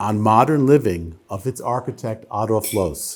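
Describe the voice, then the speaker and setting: This man has a New York accent and talks at a fairly slow pace. His pitch swings very widely. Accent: American, New York area. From US Northeast, New Jersey. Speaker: lawyer giving a public lecture. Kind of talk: lecture. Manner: slow, deliberate.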